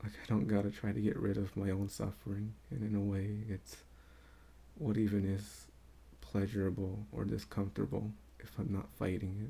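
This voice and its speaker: A man speaks at a moderate pace in a fairly low, somewhat breathy voice with a dark, mellow tone and lively intonation. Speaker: spiritual vlogger. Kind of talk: casual unscripted monologue. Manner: quieter than normal. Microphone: may not pick up his quiet voice.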